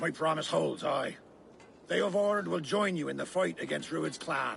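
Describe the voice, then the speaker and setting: A man uses a raspy, put-on character voice at a moderate pace. There is clear background noise. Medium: video game.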